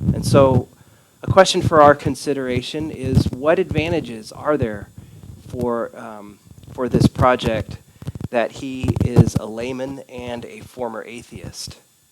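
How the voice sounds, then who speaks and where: A man speaks at a fairly slow pace and medium pitch with ordinary pitch variation. His loudness swings widely, and background noise is noticeable. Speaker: Bible study leader. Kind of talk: group study discussion. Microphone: sound too soft and distorting at first.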